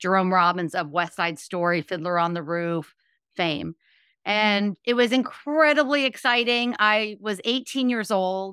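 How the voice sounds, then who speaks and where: A woman speaks at a fairly slow pace with a Californian accent. Her tone is bright and sharp. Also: medium pitch for a woman, lively intonation. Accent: General American (California). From Los Angeles, California. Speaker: former ballerina and motivational speaker. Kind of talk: interview. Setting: remote call.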